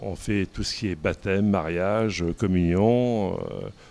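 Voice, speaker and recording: The intonation is fairly even, with music playing in the background. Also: man. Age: 60s. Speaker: pastry chef. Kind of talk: interview monologue. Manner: halting, many hesitations and repetitions.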